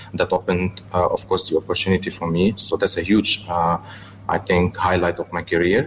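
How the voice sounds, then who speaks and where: At a moderate pace and with hardly any pauses, a man speaks in a very deep, low, somewhat breathy voice with flat, monotone intonation. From Lebanon (Beirut), then China as a teen. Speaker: businessman and watch collector. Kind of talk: radio interview. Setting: radio studio, live broadcast. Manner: hesitant, many filler sounds.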